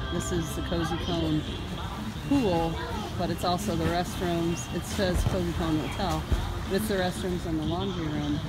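Loud music plays in the background. The speech moves at a moderate pace. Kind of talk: casual vlog chat. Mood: cheerful. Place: street. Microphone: phone near.

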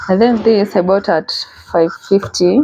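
A woman speaks at a fairly slow pace with ordinary pitch variation. There is light noise in the background. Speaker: vlogger. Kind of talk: casual vlog chat. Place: home room. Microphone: lapel.

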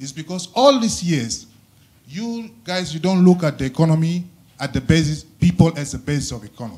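A man speaks at a moderate pace with a high pitch and lively intonation. His loudness swings widely. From South Sudan. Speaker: audience member. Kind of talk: audience question. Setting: stage with audience. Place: hall.

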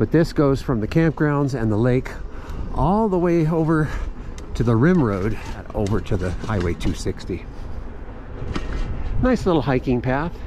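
Delivered at a fairly slow pace with long, frequent pauses, the speech is dry with no echo over light background noise. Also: man. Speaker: ride narrator. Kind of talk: casual ride-along commentary. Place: bicycle.

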